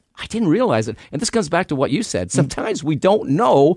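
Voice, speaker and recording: A man with a Canadian accent at a fairly quick pace, in a very clean recording with a silent background. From Canada. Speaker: retired police detective and author. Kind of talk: radio interview.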